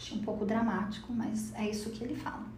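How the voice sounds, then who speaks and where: A woman talks at a fairly quick pace against noticeable background noise, with audible room echo. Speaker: podcast host. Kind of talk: casual chat.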